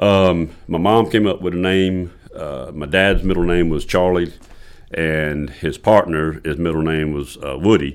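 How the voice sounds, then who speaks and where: Speaking at a fairly slow pace, a man uses a very deep, low pitch with fairly even intonation. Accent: Southern US. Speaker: golf course owner and superintendent. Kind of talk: casual interview.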